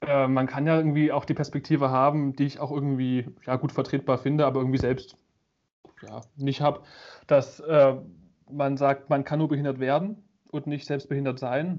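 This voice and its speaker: A man with a fairly high-pitched voice speaks in a flat monotone. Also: moderate pace. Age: 20s. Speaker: media design student and photographer. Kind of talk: casual chat.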